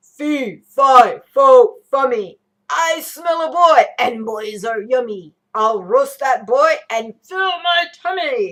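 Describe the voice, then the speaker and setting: The high-pitched voice is a put-on character voice delivered at a very slow pace. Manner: mean, menacing.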